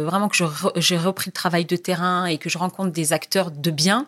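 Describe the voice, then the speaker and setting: A woman speaks at a medium pitch in a plain, everyday voice. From Tunisia, Jendouba region. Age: 40s. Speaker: journalist. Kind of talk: interview.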